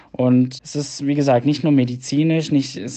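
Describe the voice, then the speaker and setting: This is a man with a normal speaking voice. He keeps a moderate pace and fairly even intonation. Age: 20s. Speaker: medical student. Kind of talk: voice message answers. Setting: recorded voice messages.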